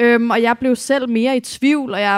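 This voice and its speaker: The speaker is a woman with a fairly high pitch. Her intonation stays monotone and flat. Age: 30s. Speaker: feminist activist. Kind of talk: live panel debate. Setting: stage with audience.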